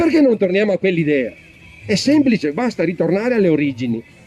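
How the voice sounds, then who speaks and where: A man's voice with very wide pitch swings over music in the background. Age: 60s. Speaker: audience member. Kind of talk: public comment at political debate. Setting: public event with audience. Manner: emphatic; halting.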